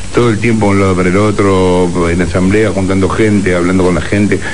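Noticeable background noise under fairly even intonation and a very fast pace. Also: man. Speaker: radio or TV political interviewer. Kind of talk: interview; reading aloud.

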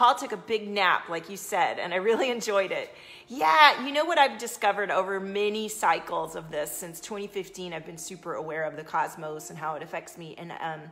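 This woman talks at a fairly quick pace with hardly any pauses, her intonation lively and her loudness swinging widely. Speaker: coach streaming to an audience. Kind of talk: casual live-stream talk. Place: home room.

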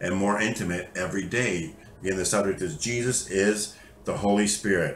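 Over light background noise, a man talks at a fairly quick pace in a fairly low pitch, his intonation fairly even and some room echo audible. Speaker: bible teacher. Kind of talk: sermon. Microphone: webcam.

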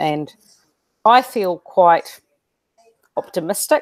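There is a quiet background behind this woman. She has a New Zealand accent and a fairly low pitch. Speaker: school educator and interview host; interviewer, host. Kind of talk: interview. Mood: thoughtful, optimistic. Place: home room. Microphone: earbuds.

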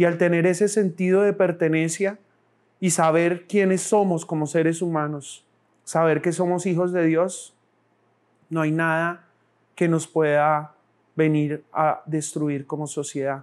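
This man has a high pitch and a fairly slow pace. His intonation is monotone and flat. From Colombia, born in Bogotá, raizal family from San Andrés; Colombia. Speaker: political candidate; candidate. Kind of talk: campaign speech. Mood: earnest, calm, faith-tinged. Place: studio. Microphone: lapel.

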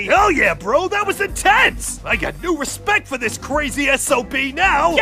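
The speech moves at a moderate pace over clear background noise. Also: man. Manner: loud, macho, slangy.

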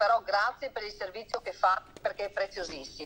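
A woman's fairly high-pitched voice against noticeable background noise. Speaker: mayor. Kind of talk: interview. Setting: video call.

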